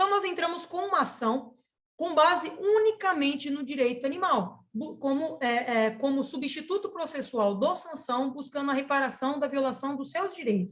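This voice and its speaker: Speaking with hardly any pauses, a woman uses a high pitch. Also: lively intonation. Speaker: public prosecutor. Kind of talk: webinar lecture. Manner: fast.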